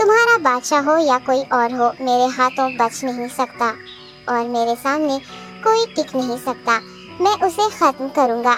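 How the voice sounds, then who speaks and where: Over clear music in the background, a female-sounding voice uses a high-pitched, cartoonish character voice. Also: moderate pace. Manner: deferential, smooth.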